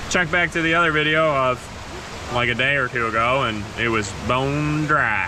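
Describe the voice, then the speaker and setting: Over noticeable background noise and audible room echo, a man talks at a moderate pace and medium pitch, his loudness very even and his pitch varying in an ordinary way. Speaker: off-road vehicle reviewer. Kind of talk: casual chat. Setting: in an off-road vehicle on trails.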